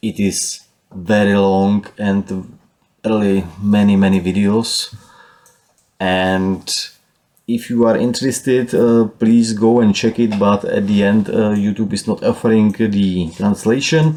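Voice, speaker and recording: A man speaks with a Czech accent. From Czech Republic. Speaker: DIY solar power enthusiast, YouTuber. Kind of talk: casual tutorial walkthrough. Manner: hesitant, frequent uh fillers.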